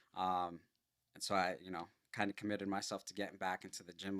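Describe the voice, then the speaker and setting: A man with a fairly low pitch and an ordinary speaking voice, at a fairly quick pace. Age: 30s. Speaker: builder and property investor. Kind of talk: casual chat.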